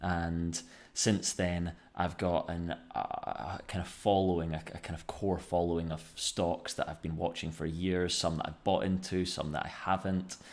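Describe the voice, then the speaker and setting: A man with a Scottish accent, very deep and low in pitch, monotone and flat in intonation, at a moderate pace. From Scotland. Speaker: finance YouTuber. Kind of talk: casual finance commentary. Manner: hesitant, many fillers.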